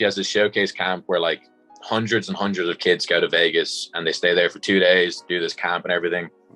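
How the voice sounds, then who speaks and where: A man in a Dublin accent at a fairly quick pace, with music in the background. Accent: Irish (Dublin). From Dublin, Ireland. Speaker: college football punter. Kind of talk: interview answer. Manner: casual, conversational.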